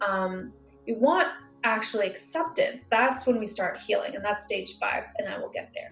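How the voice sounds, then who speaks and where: The loudness swings widely at a moderate pace. Music plays in the background, and room echo is audible. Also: woman. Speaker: emotional healing practitioner. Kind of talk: instructional talk. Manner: hesitant fillers.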